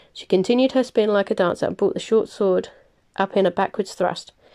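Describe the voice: In plain reading aloud, the pitch rises and falls in an ordinary way.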